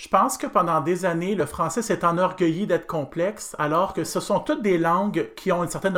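The speaker has a Quebec accent and talks at a moderate pace. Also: man. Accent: Québécois French. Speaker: pedagogical adviser for second-language French. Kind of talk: interview.

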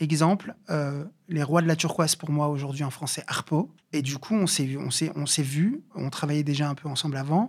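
Delivery comes at a moderate pace, somewhat breathy. Pitch varies an ordinary amount. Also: man, fairly high pitch for a man. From Paris suburbs (Bobigny). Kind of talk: interview. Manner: halting, many fillers and repetitions.

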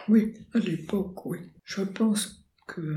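Soft-spoken and somewhat breathy, a woman talks at a very slow pace in a fairly high pitch with ordinary pitch variation. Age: 80s+. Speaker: retired painter and poet. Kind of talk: interview.

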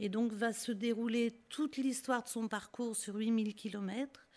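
A woman at a very slow pace. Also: very clean recording, silent background. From Lyon, France (Guillotière). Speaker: singer and refugee-aid activist. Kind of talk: radio interview. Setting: studio.

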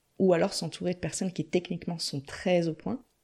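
With vocal fry and a dark, mellow tone, a woman speaks at a fairly low pitch over a quiet background. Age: 30s. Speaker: entrepreneur in career change. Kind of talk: interview.

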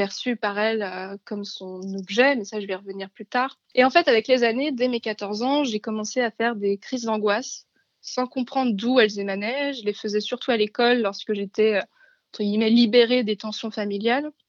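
A woman's voice with fairly even intonation and hardly any pauses against a quiet background. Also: moderate pace. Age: 20s. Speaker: graphic design student sharing her experience. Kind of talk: testimony. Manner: halting.

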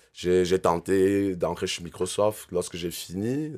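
A man's very deep, low voice at a very slow pace with ordinary pitch variation. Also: very clean recording, silent background. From Cameroon. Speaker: entrepreneur. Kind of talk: interview.

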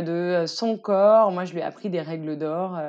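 A woman speaks at a medium pitch, with ordinary pitch variation. Her pace is fairly slow. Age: 20s. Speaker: stepmother. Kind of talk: casual chat. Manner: animated.

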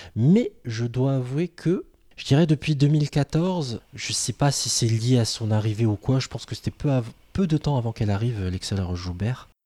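Here a man talks in a medium pitch with a dark, mellow tone, somewhat breathy, at a moderate pace and with lively intonation. The recording is very clean, silent in the background, and dry and close with no echo. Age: 30s. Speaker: podcast host. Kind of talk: casual chat.

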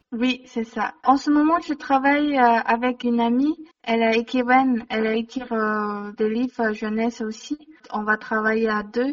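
In a Chinese accent, a woman speaks at a fairly slow pace with fairly even intonation. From China. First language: Mandarin Chinese (speaking French). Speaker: illustrator and comic author. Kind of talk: interview. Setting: phone call. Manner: halting.

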